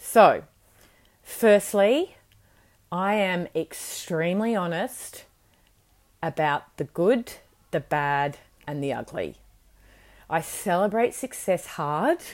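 Over a very clean recording with a silent background, a woman of medium pitch talks very slowly with lively intonation and long, frequent pauses. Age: 40s. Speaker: podcast host and business coach. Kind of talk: solo podcast monologue.

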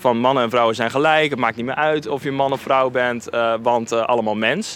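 With a normal speaking voice, this man delivers his words fairly quickly, pitched mid-range and varying in tone to an ordinary extent. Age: 30s. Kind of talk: interview. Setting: at a church.

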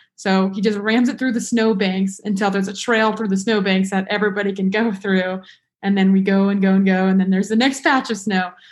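The speaker talks at a fairly quick pace, somewhat breathy, with fairly even intonation. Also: woman, medium pitch for a woman. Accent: American. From Nevada (Las Vegas). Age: 20s. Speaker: student. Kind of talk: casual chat.

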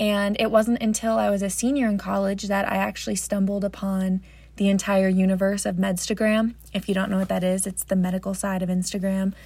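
Speaking with an American accent, a woman talks at a fairly quick pace with hardly any pauses, in a monotone, flat intonation at a medium pitch. Her voice is somewhat breathy with a dark, mellow tone, on a very clean recording with a silent background. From New Jersey. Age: 20s. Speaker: podcast host, premed student. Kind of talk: casual monologue.

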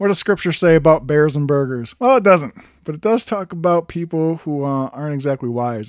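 Moderate pace and lively intonation in an Upper Midwest accent, on a very clean recording with a silent background. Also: man. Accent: Upper Midwest American. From Wisconsin. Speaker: podcast host. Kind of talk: devotional podcast monologue. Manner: casual with fillers.

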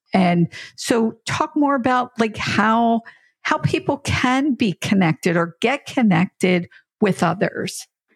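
Very wide pitch swings mark a woman's fairly high, somewhat breathy voice. She talks at a very slow pace in a dry, close sound with no echo. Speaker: podcast co-host, full-time RVer. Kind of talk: casual chat. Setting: recorded together in person.

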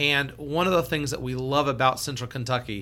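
Speaking with an American accent, a man uses a bright, sharp tone at medium pitch, with fairly even intonation and a moderate pace. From Seattle. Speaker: financial advisor, podcast co-host. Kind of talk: casual chat. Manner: loud.

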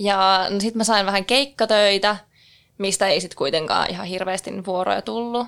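Speaking at a moderate pace with fairly even intonation and a medium pitch, a woman has an unremarkable speaking voice, captured on a very clean recording with a silent background. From northern Finland, Keminmaa (Sea Lapland). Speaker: hotel worker. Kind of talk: casual chat. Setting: studio.

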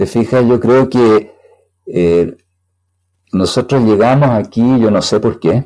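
A man with a Chilean accent and a dark, mellow tone, at a fairly slow pace. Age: 70s. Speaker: computer scientist. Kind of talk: interview.

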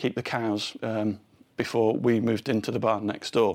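A man speaks in an English accent at a medium pitch and moderate pace, in a flat monotone. The recording is very clean, the background silent. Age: 50s. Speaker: podcast host. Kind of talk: scripted narration; casual chat. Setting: barn.

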